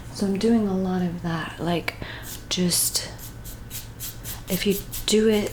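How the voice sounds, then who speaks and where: Over noticeable background noise, a soft-spoken voice moves at a very slow pace in a calm tone, with long, frequent pauses. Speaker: art tutorial teacher, painter. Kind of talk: ASMR art tutorial, soft-spoken guided painting. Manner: soft-spoken, calm.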